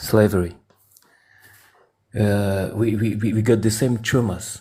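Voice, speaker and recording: At a fairly slow pace, a man speaks with a fairly low pitch, a dark, mellow, somewhat breathy tone, monotone, flat intonation and very even loudness, in a very clean recording with a silent background. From France. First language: French. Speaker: caller. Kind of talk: debate. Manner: halting.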